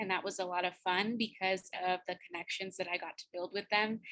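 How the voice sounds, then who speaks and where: A woman's bright, sharp voice at medium pitch with a Spanish accent, moderate pace and fairly even intonation. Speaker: university student. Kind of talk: student presentation on video call. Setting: video call.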